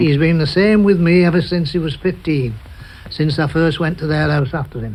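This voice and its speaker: A man with a Manchester accent and a fairly high voice speaks at a moderate pace with ordinary pitch variation. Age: 70s. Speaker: football chief scout. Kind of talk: radio interview answer.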